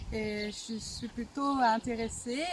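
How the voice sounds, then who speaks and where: Noticeable background noise sits under this woman's voice. Her pitch is fairly high, with ordinary variation. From Bulgaria, raised in France from age 4. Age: 20s. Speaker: folk dancer. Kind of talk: interview. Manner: halting, hesitant.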